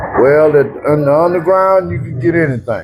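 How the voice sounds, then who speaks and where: A man with an American accent at a fairly slow pace, with ordinary pitch variation and noticeable background noise. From Oklahoma. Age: 70s. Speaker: veteran pool player. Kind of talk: casual interview.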